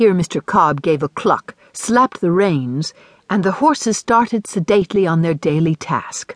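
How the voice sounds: Natural reading voice, nothing more.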